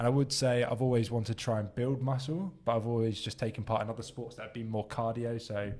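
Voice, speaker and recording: A man with a southern English accent talks at a very fast pace with hardly any pauses. His pitch is medium and his intonation fairly even. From southern England (Southampton). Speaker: podcast co-host. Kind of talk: casual chat.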